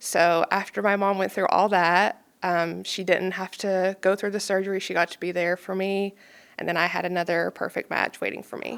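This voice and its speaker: A woman at a moderate pace, with a slight Kentucky accent and monotone, flat intonation. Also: medium pitch for a woman. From Kentucky, Pikeville (Appalachia). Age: 20s. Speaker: transplant recipient and donation advocate. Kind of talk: podcast interview, personal story. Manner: hesitant fillers, frequent um.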